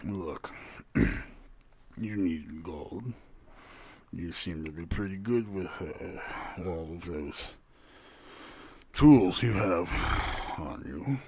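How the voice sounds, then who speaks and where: Using a put-on character voice, a man speaks at a very deep, low pitch and a very slow pace with long, frequent pauses. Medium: actual play. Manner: gruff, impatient.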